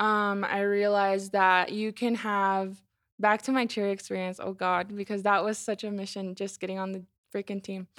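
A woman with an American accent speaks in a flat monotone at a medium pitch and moderate pace, in a very clean recording with a silent background. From Colorado. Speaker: legislative analyst. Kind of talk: casual chat.

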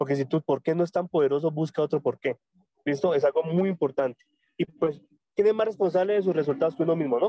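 Man with a fairly high pitch and a dark, mellow tone, very fast and very even in loudness, with ordinary pitch variation and a dry, close sound with no echo. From Colombia, Tunja, Boyacá. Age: 30s. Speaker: network marketing leader. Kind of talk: motivational training talk. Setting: phone call from a public road. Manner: halting, many repetitions. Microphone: phone mic.

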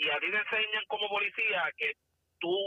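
The man's voice is high in pitch. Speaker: former police officer, firearms instructor. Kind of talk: casual chat.

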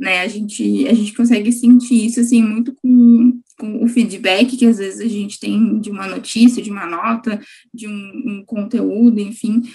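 A woman's fairly high pitch, a moderate pace, fairly even intonation, and a normal speaking voice. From Gravataí, Porto Alegre metro area, Brazil. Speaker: student journalist, podcast host. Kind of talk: interview.

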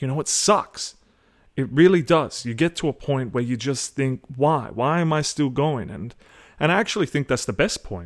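A man speaks at a medium pitch and moderate pace with ordinary pitch variation. The recording is very clean, with a silent background. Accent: Australian. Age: 20s. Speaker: podcast host. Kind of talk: solo monologue. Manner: halting.

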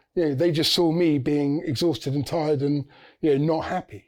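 With ordinary pitch variation, a man speaks in a fairly high pitch and a dark, mellow tone on a very clean recording with a silent background. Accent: English. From England. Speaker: university student. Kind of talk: casual chat.

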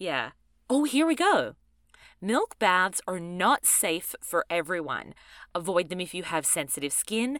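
On a very clean recording with a silent background, a woman with an Australian accent and a medium pitch speaks at a fairly slow pace in an animated tone with very wide pitch swings. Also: dry, close sound with no echo. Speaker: podcast co-host. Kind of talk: casual chat.

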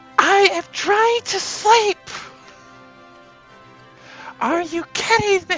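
In a put-on character voice of extremely high pitch, the speaker talks at a very slow pace with clear music in the background. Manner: roaring, angry.

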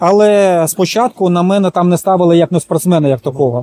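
At a moderate pace, a man with a high pitch and dark, mellow tone speaks with ordinary pitch variation, the sound dry and close with no echo. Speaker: sports physiologist and canoe sprinter. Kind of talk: interview.

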